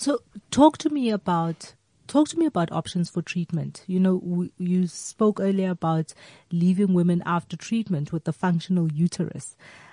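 In a dry, close sound with no echo and a quiet background, a woman speaks at a moderate pace with a fairly low pitch, a dark, mellow tone, a somewhat breathy quality and lively intonation. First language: a South African language other than English. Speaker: radio host. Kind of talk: interview. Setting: studio. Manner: animated.

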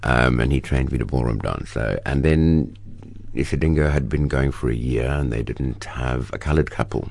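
Over noticeable background noise, a man with a very deep, low pitch talks at a moderate pace with fairly even intonation. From South Africa, Cape Town. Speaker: actor. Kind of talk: interview. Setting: radio studio.

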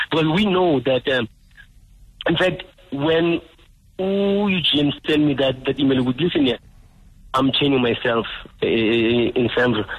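There is noticeable background noise in this clip. A man speaks with a fairly high pitch. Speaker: veteran musician and protester. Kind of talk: phone interview. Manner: halting.

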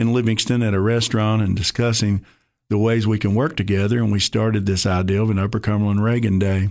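Against a quiet background, a man with a Tennessee accent speaks fairly quickly in a fairly low pitch. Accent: Southern US (Tennessee). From East Tennessee (Maryville). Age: 60s. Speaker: former county party chairman, football coach. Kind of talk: radio interview.

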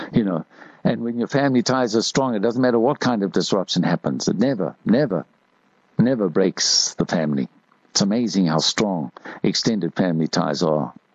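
A man's fairly low voice with vocal fry, a fairly quick pace and very wide pitch swings. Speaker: radio host. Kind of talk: talk radio monologue. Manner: conversational.

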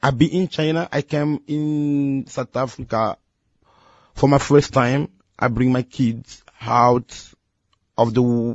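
A man talks at a very slow pace, his medium pitch showing ordinary pitch variation. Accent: Congolese. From Congo and Angola. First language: Lingala. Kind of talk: testimony. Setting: radio studio.

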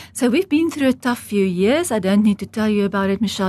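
Against a quiet background, a woman with a medium pitch and a somewhat breathy voice speaks at a very fast pace. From South Africa, rural Transvaal farm (Heidelberg). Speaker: estate agent. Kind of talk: interview.

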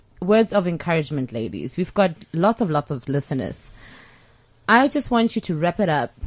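A woman's voice shows vocal fry and very wide pitch swings. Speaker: guest radio host. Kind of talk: casual radio chat. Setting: studio. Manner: animated, warm.

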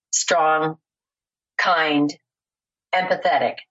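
Using a put-on character voice, a woman sounds raspy, fairly low-pitched and monotone, with flat intonation. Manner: smooth, polished.

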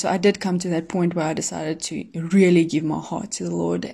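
A woman speaks with a South African accent. Her tone is dark and mellow. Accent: Afrikaans South African English. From South Africa, Pretoria. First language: Afrikaans. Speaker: professional athlete. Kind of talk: testimony. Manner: hesitant, filler-heavy.

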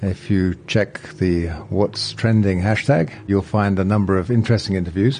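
Over noticeable background noise, a man with a very deep, low pitch speaks at a moderate pace. His intonation is fairly even, with hardly any pauses. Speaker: business school dean, podcast interviewer. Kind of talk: interview conversation.

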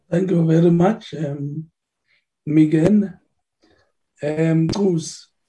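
This man's voice is fairly high, with a dark, mellow tone and fairly even intonation. He talks very slowly, leaving long, frequent pauses. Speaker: committee chairperson. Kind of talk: chairing parliamentary meeting. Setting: virtual meeting.

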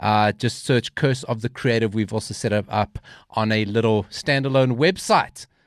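A man speaks at a moderate pace in a normal speaking voice. The sound is dry and close, with no echo. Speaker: podcast host, radio creative. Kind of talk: casual chat. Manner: jokey.

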